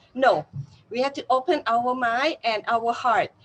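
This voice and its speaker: This is a woman speaking. She has a Thai accent. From Thailand. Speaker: university teacher. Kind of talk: interview. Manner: halting.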